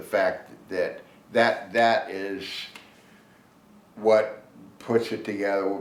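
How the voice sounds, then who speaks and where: A man talks at a very slow pace. Room echo is audible, along with noticeable background noise. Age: 70s. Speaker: bow hunter. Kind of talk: casual interview chat. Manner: halting, many restarts and fillers.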